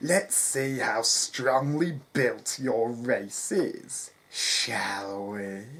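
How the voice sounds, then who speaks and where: This put-on character voice moves at a very slow pace with lively intonation. It has hardly any pauses. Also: man, medium pitch for a man. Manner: menacing.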